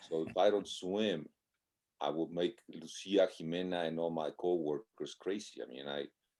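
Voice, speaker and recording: Very deep and low in pitch, a man with a Spanish accent speaks at a moderate pace in a dark, mellow tone with fairly even intonation. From Mexico. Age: 60s. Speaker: marathon swimmer. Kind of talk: casual interview.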